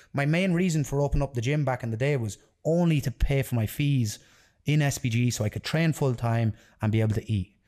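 A man with an Irish Midlands accent talks at a very fast pace in a dark, mellow tone and medium pitch, on a very clean recording with a silent background. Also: ordinary pitch variation. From Ireland (Tipperary), partly raised in London. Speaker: jiu-jitsu athlete and gym owner. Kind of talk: casual interview. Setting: in person at his gym.

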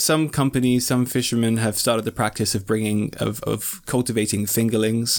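A man with a plain, everyday voice, fairly even intonation and a fairly quick pace. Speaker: podcast host. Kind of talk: casual chat. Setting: remote call from UK, local lockdown.

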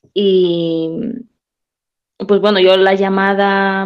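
A woman is talking. Her voice has a medium pitch. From Peru. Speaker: nun. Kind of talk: radio talk show interview.

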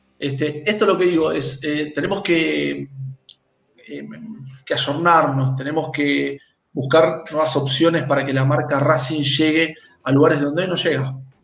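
Amid audible room echo, a man with a fairly high pitch speaks at a fairly slow pace with fairly even intonation. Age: 40s. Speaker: football club presidential candidate. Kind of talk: interview.

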